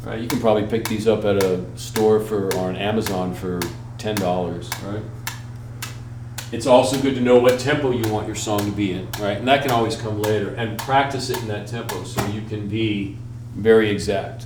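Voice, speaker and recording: Audible room echo and noticeable background noise accompany a man's voice. He speaks at a moderate pace with fairly low pitch and fairly even intonation. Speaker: musician and music teacher. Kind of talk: tutorial. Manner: casual, hesitant with fillers.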